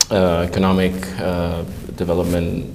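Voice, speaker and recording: A man with a very deep, low pitch speaks at a fairly slow pace in a monotone, flat way. Audible room echo and noticeable background noise are present. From southern Spain, Andalusia. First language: Spanish. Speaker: economic analyst. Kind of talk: interview. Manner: halting, many fillers.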